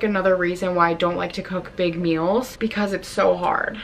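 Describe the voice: At a moderate pace, a woman talks in a medium pitch with fairly even intonation. Her tone is fairly bright.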